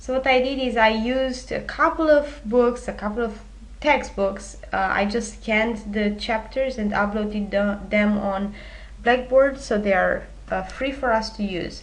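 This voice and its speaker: A woman with a Romanian accent speaks at a fairly slow pace. Audible room echo surrounds her voice. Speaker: university instructor. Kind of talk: recorded lecture presentation. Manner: many filler hesitations.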